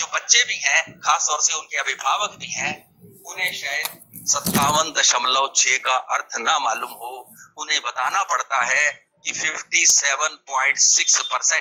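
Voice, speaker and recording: Ordinary pitch variation marks the fairly high-pitched voice of this man. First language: not Hindi (another Indian mother tongue) (speaking Hindi). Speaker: Hindi writer and speaker. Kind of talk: public speech. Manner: formal.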